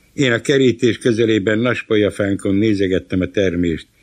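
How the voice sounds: Ordinary pitch variation runs through this natural reading voice.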